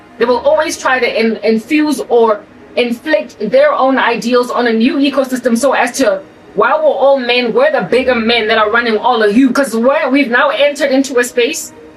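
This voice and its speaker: Noticeable background noise sits behind a woman with an American accent whose animated, high-pitched voice keeps very even loudness at a moderate pace. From South Africa. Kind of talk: monologue.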